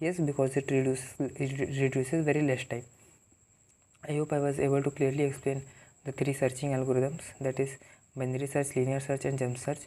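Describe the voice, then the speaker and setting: A man with an Indian accent talks at a fairly quick pace, his pitch fairly high. His intonation is flat and monotone, his tone dark and mellow. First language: Hindi. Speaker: programming tutor. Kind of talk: tutorial. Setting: talking to camera. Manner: halting.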